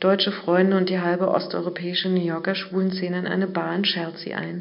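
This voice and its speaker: Audible room echo surrounds a woman with a medium pitch speaking at a moderate pace. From East Berlin, Germany. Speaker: journalist. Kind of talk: reading aloud.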